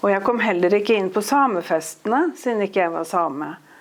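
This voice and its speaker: A woman with an eastern Norwegian accent, medium in pitch, lively in intonation, fairly slow in pace, with audible room echo. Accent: broad eastern Norwegian dialect. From eastern Norway. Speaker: author. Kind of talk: interview on stage.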